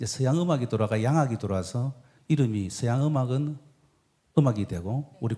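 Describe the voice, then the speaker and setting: A man with a Busan accent talks at a fairly quick pace, leaving long, frequent pauses. His medium-pitched voice is somewhat breathy and dark and mellow, with ordinary pitch variation. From South Korea, Busan. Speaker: traditional medicine doctor. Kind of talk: stage talk interview.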